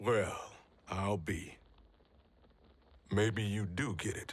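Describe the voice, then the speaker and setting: A man puts on a raspy character voice at a fairly low pitch. He delivers it at a very slow pace with fairly even intonation. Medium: video game. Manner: gruff, blunt.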